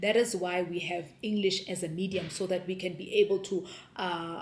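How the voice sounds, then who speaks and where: In a South African accent, a woman speaks at a moderate pace in a medium pitch. Her intonation is monotone and flat. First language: Sepedi. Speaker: homeschooling mom vlogger. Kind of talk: casual vlog talk.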